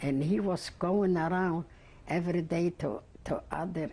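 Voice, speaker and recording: This woman's voice has a dark, mellow tone and vocal fry. The background is quiet. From Poland, Lodz. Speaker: Holocaust survivor. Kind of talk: oral history interview. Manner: halting, many repetitions.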